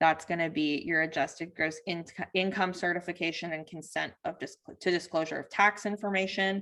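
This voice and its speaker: Her fairly low voice has a bright, sharp tone and fairly even intonation, and the woman speaks with hardly any pauses. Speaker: workshop presenter for farmers. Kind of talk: online training presentation. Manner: fast.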